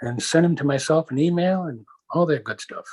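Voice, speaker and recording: A man's fairly high voice in a dry, close sound with no echo. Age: 60s. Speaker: interviewee with visual impairment, inventor. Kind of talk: interview conversation.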